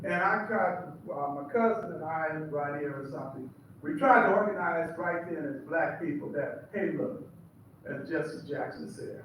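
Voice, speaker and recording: There is audible room echo and noticeable background noise as a man speaks at a moderate pace and a high pitch, with ordinary pitch variation. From Seattle, US. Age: 70s. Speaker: preacher. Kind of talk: testimony.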